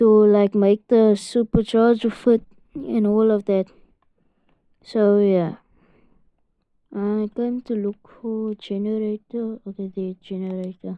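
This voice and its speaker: With monotone, flat intonation, a woman talks at a very slow pace in a fairly high pitch. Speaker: gaming video creator. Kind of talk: gameplay commentary. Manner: halting, stuttering; casual, filler-heavy.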